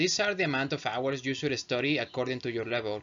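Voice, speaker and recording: Pitch moves in an ordinary way. The speech goes at a moderate pace. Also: man. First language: not English. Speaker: English teacher. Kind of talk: tutorial. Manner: halting.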